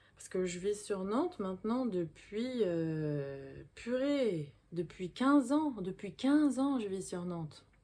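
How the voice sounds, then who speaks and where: With a dark, mellow tone at a medium pitch, a woman speaks very slowly, using very wide pitch swings and big swings in loudness. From Paris suburbs, France. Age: 40s. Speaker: vlogger. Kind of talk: casual personal storytelling to camera. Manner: casual, hesitant with fillers.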